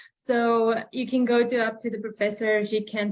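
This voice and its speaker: A woman talks with a non-native accent. Her intonation is monotone and flat. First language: not English. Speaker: international college student. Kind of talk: webinar panel talk.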